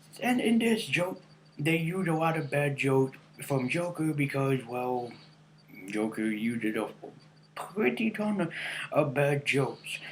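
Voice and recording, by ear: A man at a slow pace, fairly high in pitch, with lively intonation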